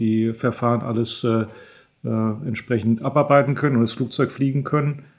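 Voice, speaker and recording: A man with a medium pitch and fairly even intonation. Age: 50s. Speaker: airline training captain. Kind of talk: expert interview. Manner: hesitant fillers (äh).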